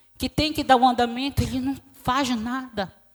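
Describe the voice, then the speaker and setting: A woman speaks softly at a high pitch. Her pace is fairly slow. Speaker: quilombola community leader, witness. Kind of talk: testimony. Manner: soft-spoken.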